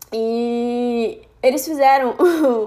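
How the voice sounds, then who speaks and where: Speaking with ordinary pitch variation, this woman has a fairly high pitch. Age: 20s. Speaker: podcaster. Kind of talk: casual monologue. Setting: at home.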